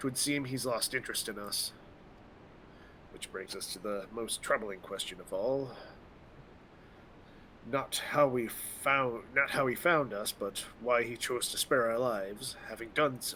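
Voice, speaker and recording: Putting on a raspy character voice, a man talks at a medium pitch and moderate pace with long, frequent pauses, clear background noise behind him. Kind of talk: archaic formal speech.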